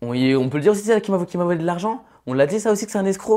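A man speaks at a very fast pace in an animated tone. His intonation is lively, and the background is quiet. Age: 20s. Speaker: reality TV contestant; interview guest. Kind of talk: interview. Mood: defensive, insistent. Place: studio. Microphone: lapel.

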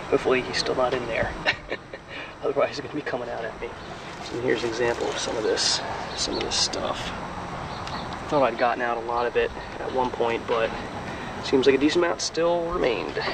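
A man's very fast speech, dry with no echo, over loud background noise. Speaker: boat owner vlogger. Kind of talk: casual vlog chat. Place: boat. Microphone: phone near.

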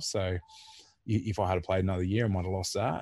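With an Australian accent, a man speaks in a very deep, low voice that is somewhat breathy, with ordinary pitch variation and a dry sound with no echo. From Australia, Port Macquarie NSW; New South Wales, Australia. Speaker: former rugby league player; podcast guest. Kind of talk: casual interview. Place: home room. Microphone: video call.

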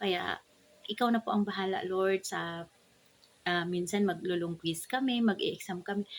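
This woman has a normal speaking voice, medium in pitch, with ordinary pitch variation and a moderate pace. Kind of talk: devotional talk with prayer. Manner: formal.

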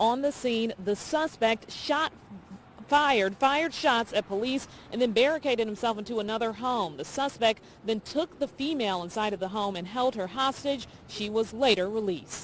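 With light background noise and a dry sound with no echo, a woman talks at a moderate pace with lively intonation. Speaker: TV news reporter. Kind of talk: live news report. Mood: serious, urgent. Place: street. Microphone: handheld.

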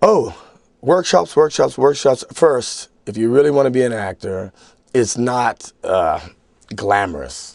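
With an American accent and medium pitch, a man speaks at a fairly slow pace with lively intonation, a dry sound with no echo and a quiet background. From United States. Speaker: actor. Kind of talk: interview. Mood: relaxed, reflective. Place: studio.

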